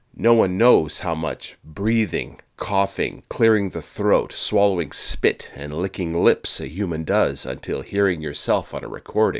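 Speaking at a fairly slow pace, a man uses a fairly low pitch with vocal fry and ordinary pitch variation. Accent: American. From Quebec, Canada. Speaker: podcast host. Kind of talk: scripted narration.

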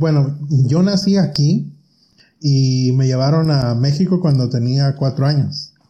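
A man with a fairly high pitch and a dark, mellow tone sounds somewhat breathy. His loudness stays very even, and his pitch varies in an ordinary way. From Mexico (Michoacán, near Apatzingán). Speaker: cosmetologist and pageant director. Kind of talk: casual interview chat.

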